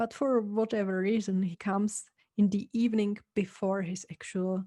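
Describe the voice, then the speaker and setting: With a Czech accent, a woman speaks at a medium pitch in a dark, mellow, somewhat breathy tone with fairly even intonation. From Czech Republic. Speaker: podcast host. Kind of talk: casual podcast talk.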